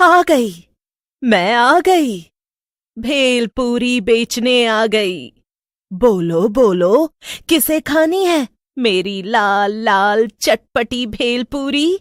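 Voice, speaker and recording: A cartoonish character voice at a very slow pace. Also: woman, high pitch for a woman. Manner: teasing, mocking.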